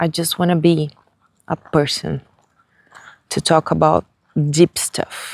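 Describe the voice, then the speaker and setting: In a Brazilian Portuguese accent, the speaker goes at a very slow pace with long, frequent pauses. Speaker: vlogger. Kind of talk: casual vlog monologue. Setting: outdoors, walking on the street. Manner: hesitant, with fillers.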